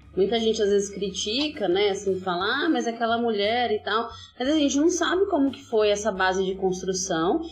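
With hardly any pauses, a woman speaks at a moderate pace and fairly high pitch with lively intonation, amid audible room echo and noticeable background noise. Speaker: podcast host. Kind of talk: casual interview chat. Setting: remote recording during pandemic. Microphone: poor audio quality, heavily edited.

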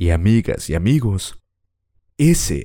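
A man speaks in a Mexican accent with a dark, mellow tone. His pitch swings very widely. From Mexico, Acapulco. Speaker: podcast host. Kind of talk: personal storytelling.

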